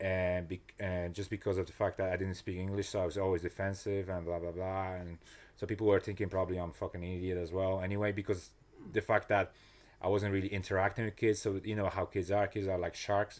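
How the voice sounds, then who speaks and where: In a very clean recording over a silent background, a man with a very deep, low voice talks very fast in a monotone, flat delivery. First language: not English. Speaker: personal trainer and motivational coach. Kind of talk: casual interview chat. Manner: halting, many restarts and fillers.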